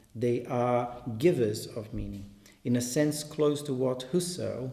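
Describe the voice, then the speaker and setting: A man speaks in a dark, mellow tone that is somewhat breathy. His pace is fairly slow, and audible room echo surrounds the voice. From Brazil. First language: Portuguese. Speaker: artist and translator. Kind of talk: reading aloud. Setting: exhibition in a gallery.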